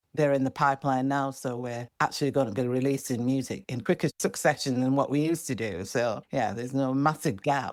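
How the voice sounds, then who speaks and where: In a Yorkshire accent, the speaker goes at a fairly quick pace with hardly any pauses and ordinary pitch variation, on a very clean recording with a silent background. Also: woman, very deep, low pitch for a woman. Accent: Northern English (Yorkshire). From Bradford, England. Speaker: singer-songwriter. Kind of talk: podcast interview answer.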